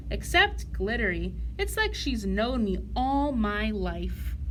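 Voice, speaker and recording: Against clear background noise, a put-on character voice speaks at a fairly slow pace. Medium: read story. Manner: earnest, sensitive.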